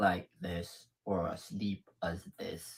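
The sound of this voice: A man puts on a character voice. It is raspy and pitched very deep and low.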